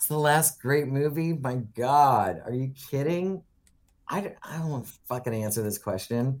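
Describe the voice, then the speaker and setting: In a very clean recording with a silent background, a man with an American accent talks at a moderate pace in a plain, everyday voice, medium-pitched with lively intonation. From US Midwest, rural Ohio. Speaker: film production designer. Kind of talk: interview.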